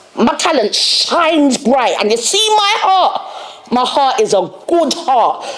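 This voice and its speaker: A woman with a London accent, animated in tone and swinging very widely in pitch, amid noticeable background noise and audible room echo. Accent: London Multicultural English. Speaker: podcast host. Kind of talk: monologue rant. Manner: loud.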